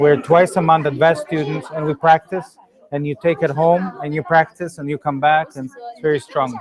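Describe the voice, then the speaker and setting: A man speaks at a fairly high pitch with fairly even intonation and big swings in loudness. Noticeable background noise runs behind him. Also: moderate pace. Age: 40s. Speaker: energy healing teacher. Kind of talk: Q&A after a workshop. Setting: public talk without microphone.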